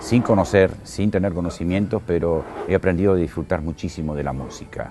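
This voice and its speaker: Over music in the background, a man with a very deep, low pitch talks at a moderate pace with ordinary pitch variation. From Argentina, Buenos Aires then Córdoba from age 14. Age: 60s. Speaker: writer and radio presenter. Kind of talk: interview.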